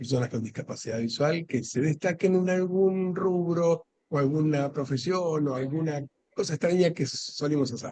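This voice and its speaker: This is a plain, everyday voice, a man's, pitched fairly high. He talks at a fairly slow pace with ordinary pitch variation. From Argentina. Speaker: interviewer, library host.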